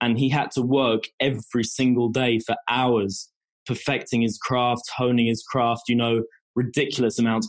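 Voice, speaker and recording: A man speaks at a moderate pace and medium pitch in a plain, everyday voice. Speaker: university student and aspiring golfer. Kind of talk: interview.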